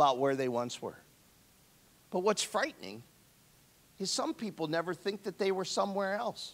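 Pitched high, a man's voice swings very widely up and down. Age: 60s. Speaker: pastor. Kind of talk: sermon. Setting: church. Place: church. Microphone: handheld.

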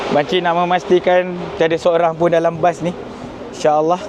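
Noticeable background noise fills the clip. Over it, a man talks with a high pitch. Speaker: travel vlogger on hajj pilgrimage. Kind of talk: travel vlog narration. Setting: on a bus and outdoors at Arafah.

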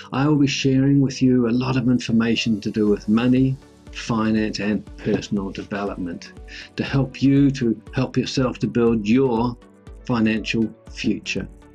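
A man with a New Zealand accent at a moderate pace, fairly even intonation, and faint music in the background. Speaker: personal finance YouTuber. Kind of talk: casual talk to camera. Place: home room.

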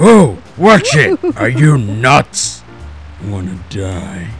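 A man's put-on character voice at a very slow pace, over clear music in the background. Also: medium pitch for a man. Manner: angry, shouting.

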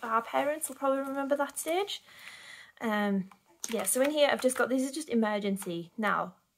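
Speaking at a moderate pace with a British accent, a woman has a high pitch, with light background noise behind her. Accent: regional British. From United Kingdom. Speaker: budgeting vlogger. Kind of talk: casual talk to camera. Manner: hesitant, lots of filler 'erm'. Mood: relaxed, self-deprecating. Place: home room. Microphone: phone near.

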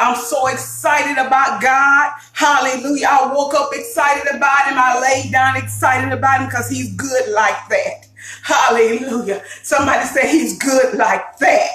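A woman's raised, projected voice, with fairly even intonation at a moderate pace, carries audible room echo over faint music in the background. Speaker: cooking show host. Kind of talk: preaching intro to a cooking vlog. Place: kitchen. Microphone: phone near.

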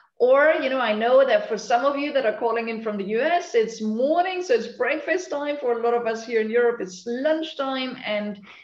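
A woman's high voice at a moderate pace, with ordinary pitch variation, hardly any pauses and audible room echo. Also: quiet background. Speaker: session host. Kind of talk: webinar host introduction. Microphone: video call.

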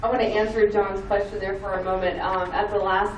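Noticeable background noise and audible room echo around a woman at medium pitch, moderate pace. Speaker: school board candidate. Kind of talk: candidate forum answer. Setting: public forum in library meeting room with audience. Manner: halting, stuttering.

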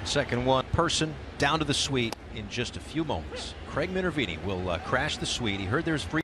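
Noticeable background noise sits behind a man talking at a fairly quick pace. His pitch swings very widely. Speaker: baseball play-by-play announcer. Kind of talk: live baseball play-by-play commentary, brisk pitch-by-pitch calls. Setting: broadcast booth.

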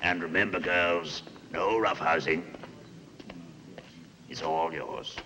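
A put-on character voice, bright and sharp in tone, slow in pace, with fairly even intonation and audible room echo. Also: man, low pitch for a man.

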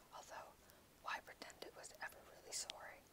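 Someone whispers at a moderate pace. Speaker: ASMR reader. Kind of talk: audiobook reading. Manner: whispered.

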